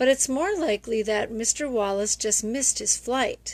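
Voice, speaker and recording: Putting on a character voice, a woman sounds raspy at a fairly high pitch and a moderate pace. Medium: read story. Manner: easygoing, reassuring.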